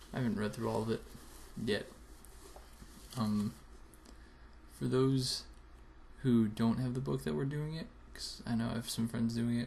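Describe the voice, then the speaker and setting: A man speaks quietly and somewhat breathily, with ordinary pitch variation and long, frequent pauses. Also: medium pitch for a man, moderate pace. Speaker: video blogger. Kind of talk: casual vlog. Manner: quiet, keeping voice down.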